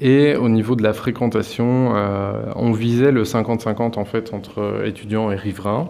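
Over noticeable background noise, a man at medium pitch talks at a very slow pace with hardly any pauses and fairly even intonation. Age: 20s. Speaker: cooperative grocery founder. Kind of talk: interview. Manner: hesitant, many fillers.

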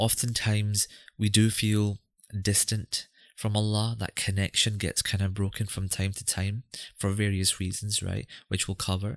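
Monotone, flat speech from a man with a Scottish accent, fairly low in pitch at a moderate pace, dry and close with no echo, in a very clean recording with a silent background. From Scotland. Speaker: podcast host. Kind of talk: podcast intro and interview.

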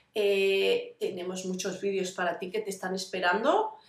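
Audible room echo carries the voice of a woman with a medium pitch. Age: 40s. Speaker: vlogger living with fibromyalgia. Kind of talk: casual personal vlog. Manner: halting, many fillers.

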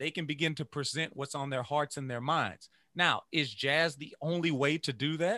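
A man with a Louisiana accent, fairly high in pitch and bright, sharp in tone, at a moderate pace, on a dry, close, echo-free and very clean recording with a silent background. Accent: Southern US (Louisiana). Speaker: music educator and saxophonist. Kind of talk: interview conversation. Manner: animated.

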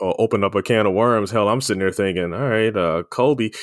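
A man with an American accent has an ordinary speaking voice, a medium pitch and ordinary pitch variation. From Baltimore, Maryland. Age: 50s. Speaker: podcast host. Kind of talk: interview.

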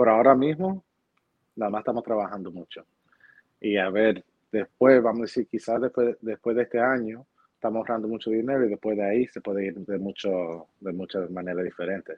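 Speaking fairly quickly, a man with a normal speaking voice keeps his pitch fairly low and varies it in an ordinary way. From New Jersey, Hoboken. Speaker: real estate agent. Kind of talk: interview.

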